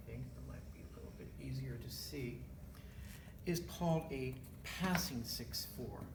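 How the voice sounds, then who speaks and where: Noticeable background noise fills the recording. The speech moves fairly slowly. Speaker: music theory teacher. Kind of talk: lecture.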